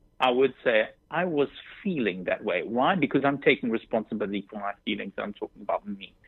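Speaking in a South African accent, a man talks at a moderate pace with lively intonation. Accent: South African English, often heard as British. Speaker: dating app co-founder. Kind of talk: radio interview. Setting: phone call.

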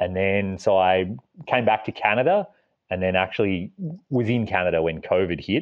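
In an Australian accent, a man with a fairly low pitch talks at a moderate pace with ordinary pitch variation. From Australia, small town. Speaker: overland traveller and author. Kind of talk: interview.

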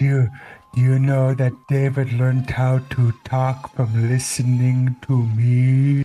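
A man's put-on character voice at a medium pitch, monotone and flat, with very even loudness, a very slow pace and faint music in the background.

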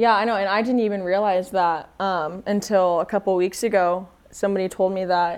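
A woman with an American accent speaks at a fairly quick pace, in a medium pitch with fairly even intonation. She has a plain, everyday voice, and the background is quiet. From US, Denver. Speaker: footballer. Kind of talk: casual interview.

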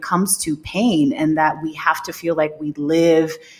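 A normal speaking voice with an American accent, at a fairly slow pace and with ordinary pitch variation. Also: woman. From Staten Island, New York. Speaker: cannabis wellness entrepreneur. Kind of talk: interview storytelling.

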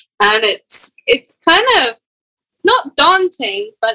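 A woman's raised, projected voice with a Scottish accent, bright, sharp tone and very slow pace, in a dry, close sound with no echo. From Scotland. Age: 20s. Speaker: professional golfer. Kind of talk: casual chat.

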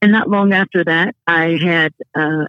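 A woman with a normal speaking voice speaks at a medium pitch and a fairly slow pace. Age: 50s. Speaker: business consultant and author. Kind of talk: interview.

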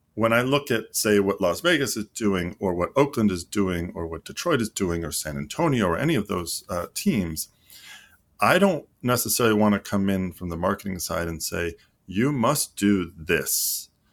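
A man with an American accent speaks in a plain, everyday voice, fairly low in pitch, with lively intonation at a moderate pace, on a very clean recording with a silent background. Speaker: sports league marketing executive, former pro footballer. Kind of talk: interview.

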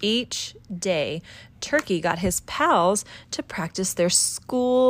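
What you hear is a natural reading voice.

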